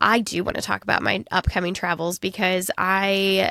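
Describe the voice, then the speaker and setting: In a Midwestern accent, a woman speaks at a moderate pace and medium pitch, her intonation monotone and flat, with a dry, close sound and no echo. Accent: non-regionally specific Midwestern. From US Midwest. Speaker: podcast co-host. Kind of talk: casual chat.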